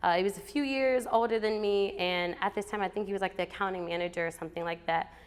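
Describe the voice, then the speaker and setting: In a Southern US accent, a woman speaks at a medium pitch. Her pitch varies in an ordinary way. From US South, Alabama. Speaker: motivational speaker. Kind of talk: storytelling talk. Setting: stage with audience. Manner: animated.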